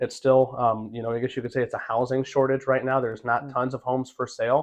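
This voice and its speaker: A man speaks with an American accent at a medium pitch. His intonation is monotone and flat, and his pace is fairly quick. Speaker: auctioneer and realtor. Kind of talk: interview answer about the real estate market. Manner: conversational, fluent, with many filler words.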